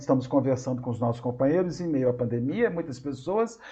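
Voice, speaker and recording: A man speaks at a fairly quick pace. His voice is fairly high in pitch and somewhat breathy. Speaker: spiritist lecturer. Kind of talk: lecture. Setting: video call. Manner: halting, repeated syllables. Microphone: unstable internet connection.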